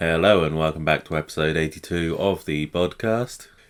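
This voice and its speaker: A man's raspy put-on character voice at a very deep, low pitch, with fairly even intonation and a moderate pace, on a very clean recording with a silent background. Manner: funny, exaggerated intro voice.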